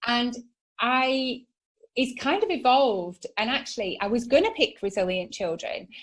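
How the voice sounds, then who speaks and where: At a moderate pace, a woman with a northern English accent speaks in a high pitch with lively intonation. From northern England, Manchester area. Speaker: psychotherapist and entrepreneur. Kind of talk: podcast interview. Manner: animated.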